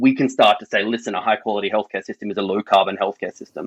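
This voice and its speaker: Very fast and monotone with flat intonation, a man speaks in an Australian accent at a fairly low pitch. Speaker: public health doctor and health service sustainability lead. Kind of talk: podcast interview.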